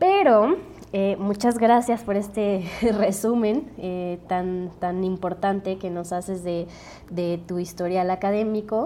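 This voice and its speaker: Very slow speech from a woman, medium in pitch and fairly even in intonation. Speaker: podcast host. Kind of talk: interview.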